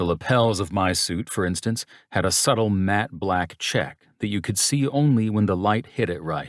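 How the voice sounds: The intonation shows ordinary pitch variation. It is a natural reading voice.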